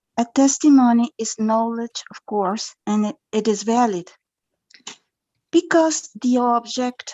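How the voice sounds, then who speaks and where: A woman with a Spanish accent speaks fairly slowly in a fairly high pitch. Her pitch varies in an ordinary way. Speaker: conference attendee asking a question. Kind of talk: academic Q&A. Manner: halting.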